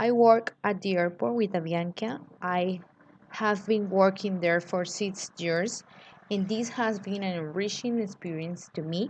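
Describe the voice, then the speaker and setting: The speech comes at a very slow pace with a Colombian accent and fairly even intonation. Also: woman. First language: Spanish. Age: 20s. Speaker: graduate student. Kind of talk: recorded class presentation.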